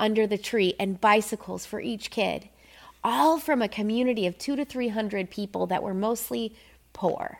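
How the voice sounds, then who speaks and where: Using a normal speaking voice, a woman with an American accent talks at a moderate pace and a fairly high pitch. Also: ordinary pitch variation. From Minnesota. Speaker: photographer. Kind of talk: casual interview. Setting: photo studio.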